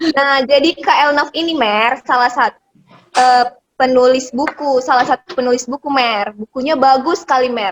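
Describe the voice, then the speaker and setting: A woman's high-pitched voice at a moderate pace, with ordinary pitch variation and a dry, close sound with no echo. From Indonesia, Medan (North Sumatra). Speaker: video host, interviewer. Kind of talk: casual chat. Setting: video call.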